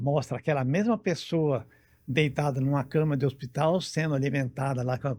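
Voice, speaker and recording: A man at a medium pitch has a dark, mellow, somewhat breathy tone with ordinary pitch variation. The recording is very clean with a silent background. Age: 70s. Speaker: interview guest, healthy-aging older adult. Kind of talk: interview. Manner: halting, many fillers.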